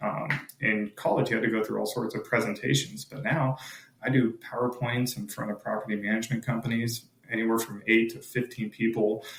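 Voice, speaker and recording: With vocal fry and a medium pitch, a man talks at a fairly quick pace with ordinary pitch variation. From Oregon. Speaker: roofing business owner. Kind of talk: interview.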